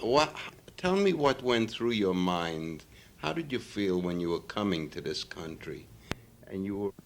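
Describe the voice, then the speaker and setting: In a normal speaking voice, a man with a fairly low pitch talks at a fairly slow pace with lively intonation. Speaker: interviewer. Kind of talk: interview questions.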